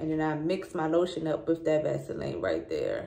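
Speaking at a fairly slow pace, a woman is heard against a quiet background with audible room echo. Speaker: lifestyle vlogger. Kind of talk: casual vlog chat. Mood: relaxed, chatty. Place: bathroom. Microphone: phone near.

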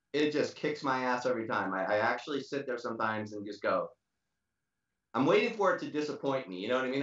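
Talking at a very fast pace, a man is heard with audible room echo over a quiet background. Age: 60s. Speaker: drummer; interview guest. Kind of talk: casual interview. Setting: video call. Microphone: video call.

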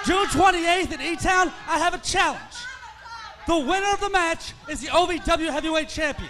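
A man uses a raised, projected voice at an extremely high pitch. His pace is moderate, his intonation fairly even, and there is noticeable background noise. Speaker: wrestling manager. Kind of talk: wrestling promo. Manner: exasperated, sneering; placating, repetitive. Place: stage. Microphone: handheld.

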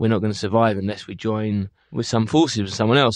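A man with a London accent speaks in a fairly low pitch with fairly even intonation, in a dry, close sound with no echo and a quiet background. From London, England. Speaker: music booking agent. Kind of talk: interview.

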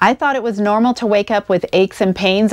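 A woman speaks with ordinary pitch variation. The background is quiet. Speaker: RV travel vlogger. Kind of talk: sponsor read to camera. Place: home room. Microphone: lapel.

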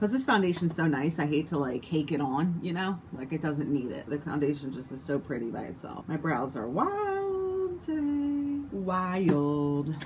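Noticeable background noise runs under a woman's very deep, low voice. She keeps a moderate pace with ordinary pitch variation. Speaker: beauty vlogger. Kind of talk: casual makeup tutorial chat. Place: home room. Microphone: phone near.

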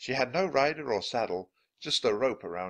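Natural-voiced reading aloud with lively intonation over a quiet background

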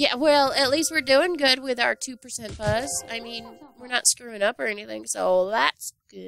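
Music plays behind a woman with a high voice who speaks at a moderate pace, her pitch varying in an ordinary way and her loudness swinging widely. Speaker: gaming video creator. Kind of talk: let's play commentary. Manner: animated.

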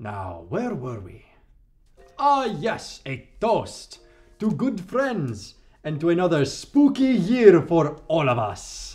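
A man's put-on character voice, high-pitched and very slow, with very wide pitch swings. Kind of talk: comedy sketch. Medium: stage. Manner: theatrical, grandiose.

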